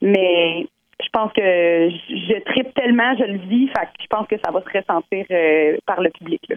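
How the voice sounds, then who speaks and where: A woman speaks in a Quebec accent at medium pitch. Her intonation is lively and her pace fairly slow. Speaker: singing contest candidate. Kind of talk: phone interview. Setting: phone call.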